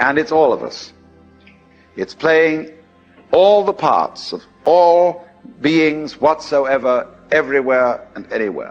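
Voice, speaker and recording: Music plays in the background as a man with a British accent speaks with lively intonation. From England, outside London. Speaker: philosopher and lecturer. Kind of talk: recorded philosophy lecture.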